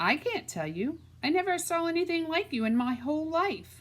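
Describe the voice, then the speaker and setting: A woman puts on a character voice with an extremely high pitch. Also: moderate pace. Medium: read story. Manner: saucy, mocking.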